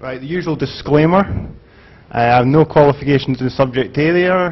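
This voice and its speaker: A man talks in a Scottish accent. His pitch variation is ordinary. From Scotland. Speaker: conference speaker. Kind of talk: conference talk. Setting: stage with audience. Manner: halting, many fillers.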